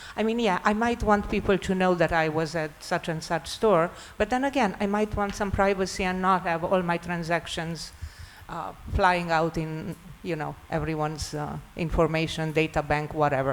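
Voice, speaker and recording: A woman speaks at a moderate pace in a fairly low voice. Her pitch variation is ordinary. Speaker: panellist. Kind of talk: panel discussion. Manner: loud.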